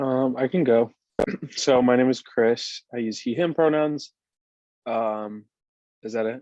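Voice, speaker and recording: Speaking fairly slowly with long, frequent pauses, a man with an American accent has a dark, mellow tone at a medium pitch. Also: ordinary pitch variation. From Michigan, US. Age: 20s. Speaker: youth advisory council member. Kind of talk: self-introduction.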